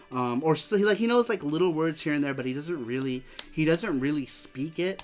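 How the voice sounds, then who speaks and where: With music in the background, a man with an American accent talks at a moderate pace, his fairly high voice carrying lively intonation. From US West Coast, East Los Angeles. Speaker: streamer hosting a retro game show. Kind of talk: live stream chat. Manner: casual, halting with repetitions.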